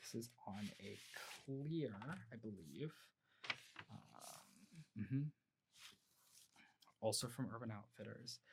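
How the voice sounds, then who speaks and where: A man speaks at a very slow pace with lively intonation, vocal fry, and long, frequent pauses. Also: medium pitch for a man. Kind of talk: ASMR roleplay, soft-spoken shop clerk talking to a customer. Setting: home recording with a close microphone.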